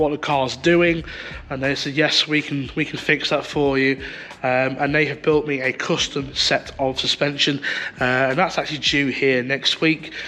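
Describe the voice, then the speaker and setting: Against noticeable background noise, a man with a British accent talks at a moderate pace in a fairly high pitch, his intonation monotone and flat. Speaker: car fabricator and racer. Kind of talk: casual talk to camera.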